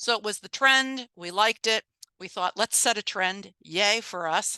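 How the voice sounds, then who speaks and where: A bright, sharp tone at a moderate pace with ordinary pitch variation, dry and close with no echo, over a quiet background. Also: woman, medium pitch for a woman. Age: 60s. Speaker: nonprofit director. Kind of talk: presentation. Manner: animated.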